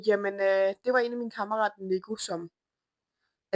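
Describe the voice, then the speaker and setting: A woman speaks at a moderate pace in a monotone, flat intonation. The sound is dry and close, with no echo. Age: 20s. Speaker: media lead of an online community. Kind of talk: self-introduction to camera.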